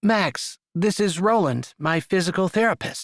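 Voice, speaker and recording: A man's put-on character voice, high-pitched. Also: dry, close sound with no echo. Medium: read story.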